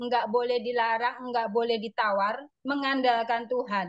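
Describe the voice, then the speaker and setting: Here a woman speaks with a high pitch. Her pace is moderate. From Indonesia, Surabaya (East Java). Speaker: motivational speaker in a network-marketing business. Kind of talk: motivational talk.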